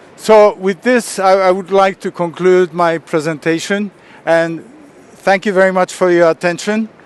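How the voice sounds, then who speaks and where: This man speaks with a high pitch and fairly even intonation. The sound is dry and close, with no echo. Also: moderate pace. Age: 70s. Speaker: martial arts master and speaker. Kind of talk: lecture. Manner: halting.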